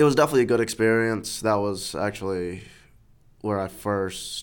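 A man with an American accent has a plain, everyday voice at a fairly low pitch. The recording is very clean, with a silent background. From New York City. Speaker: church member sharing life story. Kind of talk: testimony.

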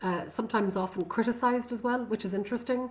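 A woman speaks with a Connemara accent and fairly even intonation. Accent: Irish, Connemara Irish-English. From Connemara, west of Ireland. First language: Irish. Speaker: singer and visual artist. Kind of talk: casual interview conversation. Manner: reflective, hesitant with fillers.

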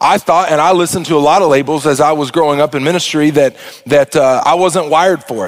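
At a very fast pace, a man with an Arkansas accent speaks in a fairly high pitch with ordinary pitch variation. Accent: Southern US (Arkansas). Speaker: pastor. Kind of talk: sermon. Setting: church. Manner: animated.

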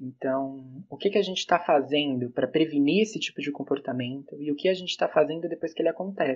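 Very fast male speech, fairly high in pitch, with ordinary variation in pitch. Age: 20s. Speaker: psychology student. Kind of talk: podcast panel discussion.

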